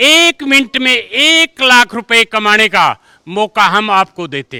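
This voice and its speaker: Raised and projected, a man's bright, sharp, high-pitched voice swings very widely in pitch and heavily in loudness, recorded dry and close with no echo. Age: 60s. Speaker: school teacher. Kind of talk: interview. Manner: animated.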